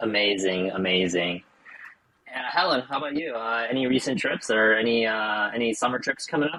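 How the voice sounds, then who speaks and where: In an American accent, a man with an unremarkable speaking voice and medium pitch talks at a fairly quick pace with lively intonation. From United States. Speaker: podcast co-host. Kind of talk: casual chat.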